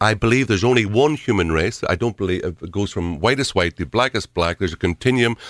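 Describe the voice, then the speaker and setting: A man with a Derry accent and a fairly low voice, very fast with hardly any pauses, lively intonation, and a dry, close sound with no echo. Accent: Northern Irish (Derry). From Derry, Northern Ireland. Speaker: political candidate. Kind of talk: radio interview. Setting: studio.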